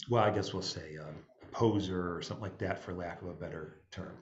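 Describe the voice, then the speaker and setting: Audible room echo surrounds a somewhat breathy man with an upstate New York accent. His intonation is lively. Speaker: jazz musician and music director. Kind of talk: panel talk. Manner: halting, many fillers.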